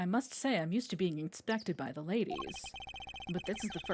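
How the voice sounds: The reader's natural voice rises and falls with lively intonation.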